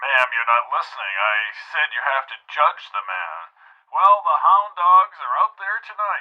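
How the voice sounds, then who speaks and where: Putting on a character voice, a man speaks resonantly at a moderate pace. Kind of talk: radio show host. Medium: audio drama.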